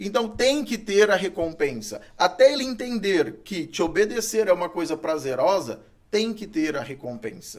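A man speaks at a high pitch, with very wide pitch swings. He leaves hardly any pauses. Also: moderate pace. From Brazil, Goiás (Itumbiara). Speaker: dog trainer. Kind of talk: casual interview chat. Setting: studio. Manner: hesitant, filler-heavy.

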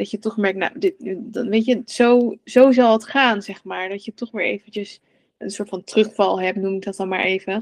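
In a dry, close recording with no echo, a woman speaks with an unremarkable speaking voice at medium pitch, her intonation fairly even but her loudness swinging widely. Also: moderate pace. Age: 30s. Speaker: coach for mothers on relationship with food. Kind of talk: casual interview chat.

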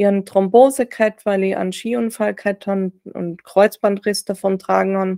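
A woman with a Tyrolean accent, dry and close-miked with no echo. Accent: Tyrolean Austrian German. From Austria, Tyrol (Reutte, near German border). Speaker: grief-recovery sports coach and author. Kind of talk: personal testimony in interview. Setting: video call.

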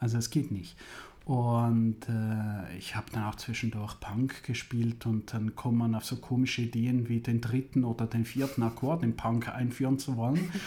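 Speaking at a moderate pace, a man with a medium pitch has a dark, mellow, somewhat breathy tone and fairly even intonation. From Switzerland, Zurich area. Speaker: music university president. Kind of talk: interview.

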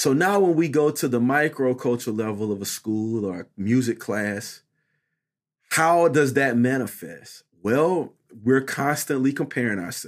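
A man with an American accent speaks at a moderate pace and medium pitch, with lively intonation, in a plain, everyday voice. The recording is very clean, with a silent background. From US South, Statesboro, Georgia. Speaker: choir director and music doctoral student. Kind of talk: casual interview conversation.

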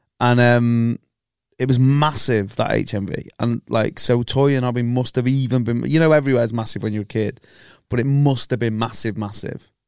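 A man with a northwest English accent, medium pitch, fairly even intonation and a fairly quick pace, on a very clean recording with a silent background. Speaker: podcast host, football fan. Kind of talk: casual banter chat. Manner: joking, profane, banter.

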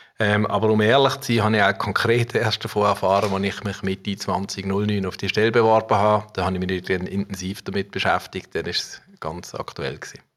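At a fairly low pitch, a man talks at a fairly quick pace with hardly any pauses and fairly even intonation. Background noise is noticeable. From Basel region, Switzerland (Muttenz). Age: 50s. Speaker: civil engineer and rail project manager. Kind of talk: interview. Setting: office.

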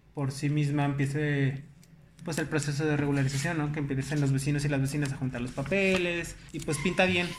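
Amid audible room echo, a fairly high-pitched man talks at a fairly quick pace in a monotone, flat intonation. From Mexico, León (Guanajuato). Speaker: director of a housing nonprofit. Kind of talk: casual interview.

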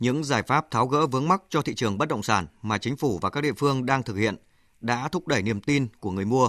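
The sound is dry and close with no echo, against a quiet background. A man talks at a very fast pace with ordinary pitch variation. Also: medium pitch for a man. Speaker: radio news presenter. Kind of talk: news reading. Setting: studio.

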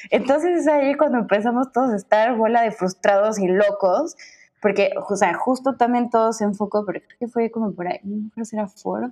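Her tone dark and mellow, a woman speaks fairly quickly at a fairly high pitch, with ordinary pitch variation and big swings in loudness. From Mexico, Cuernavaca. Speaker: graphic designer. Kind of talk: casual interview.

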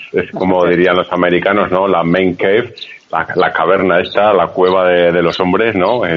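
A man talks at a moderate pace in a very deep, low pitch with monotone, flat intonation. Noticeable background noise is present. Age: 30s. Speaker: podcast host. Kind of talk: casual chat.

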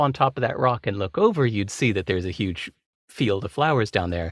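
A plain, everyday voice belongs to a man who speaks at a medium pitch and moderate pace with lively intonation, the sound dry and close with no echo in a very clean recording with a silent background. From California. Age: 50s. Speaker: author. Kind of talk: casual chat.

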